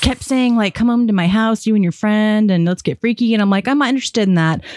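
A woman's fairly high voice, dry and close with no echo, amid noticeable background noise. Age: 40s. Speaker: podcast host and peer support specialist. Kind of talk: casual interview conversation; scripted intro.

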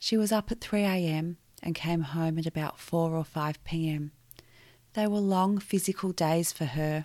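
With an Australian accent, a woman speaks at a fairly low pitch in a dark, mellow tone. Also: ordinary pitch variation, moderate pace, very clean recording, silent background. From Victoria, Australia. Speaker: podcast host sharing her life story. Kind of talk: personal testimony narration.

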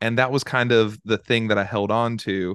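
An ordinary speaking voice from a man with an American accent, medium pitch and a fairly quick pace, dry and close with no echo over a quiet background. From Charlotte, North Carolina. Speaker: youth pastor. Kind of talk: interview, personal testimony.

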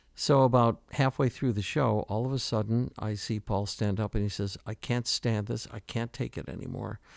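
Speaking with an American accent, a man keeps a medium pitch, moderate pace and ordinary pitch variation in a dry, close, echo-free and very clean recording with a silent background. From US Midwest, Detroit. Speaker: retired radio executive. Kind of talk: casual reminiscing interview. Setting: studio. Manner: halting, with repeated words and fillers.

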